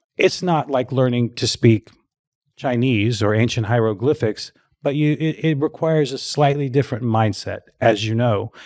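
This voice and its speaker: A man in a normal speaking voice talks at medium pitch and a moderate pace with ordinary pitch variation. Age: 60s. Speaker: fitness marketing expert and author. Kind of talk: casual interview chat.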